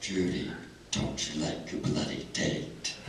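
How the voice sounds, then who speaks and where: A man uses a put-on character voice with a very deep, low pitch at a fairly slow pace. Clear echo and clear background noise are present. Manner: creepy, sinister.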